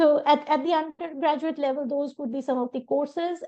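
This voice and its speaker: A woman's high-pitched voice holds a flat, monotone intonation. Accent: Bengali. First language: Bengali. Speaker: professor. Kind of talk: interview. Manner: halting, many fillers.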